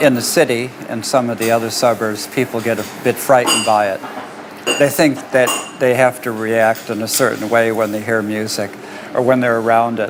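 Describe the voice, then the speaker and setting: At a moderate pace, a man with an American accent talks at a medium pitch with fairly even intonation, over noticeable background noise. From US, Detroit. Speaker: musician. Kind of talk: interview.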